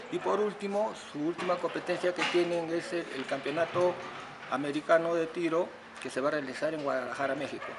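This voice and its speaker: At a fairly quick pace, a man talks in a high voice with ordinary pitch variation while background noise is noticeable. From Peru, Callao; Peru. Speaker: shooting coach. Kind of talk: interview; interview answer. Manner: halting. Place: hall.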